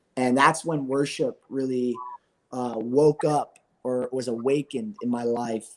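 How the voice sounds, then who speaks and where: A man talks at a fairly slow pace in a medium pitch. His intonation is monotone and flat. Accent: American. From US Northeast, Philadelphia area. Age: 20s. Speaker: worship musician. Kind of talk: interview testimony. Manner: halting, many fillers.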